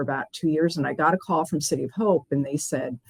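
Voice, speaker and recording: With a normal speaking voice, this woman speaks at a fairly low pitch in a dry, close sound with no echo. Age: 60s. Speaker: healthcare executive. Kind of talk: interview.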